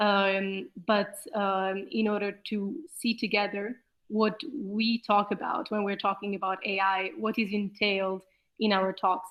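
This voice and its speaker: Here is a woman with an ordinary speaking voice at a medium pitch. Her intonation stays fairly even. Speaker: lecturer. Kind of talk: lecture.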